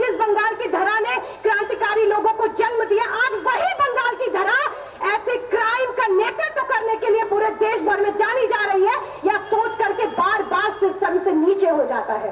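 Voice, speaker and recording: A woman's extremely high-pitched, passionate voice with fairly even intonation. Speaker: student organisation national general secretary, political speaker. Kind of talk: fiery political rally speech to a crowd. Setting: outdoor rally, PA system. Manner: passionate, forceful, indignant.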